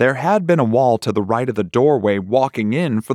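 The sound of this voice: The reading voice sounds unforced, and the intonation rises and falls in a lively way.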